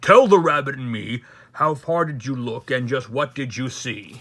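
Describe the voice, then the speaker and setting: Using a put-on character voice, a man growls gruffly at medium pitch and a moderate pace. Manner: growling, gruff.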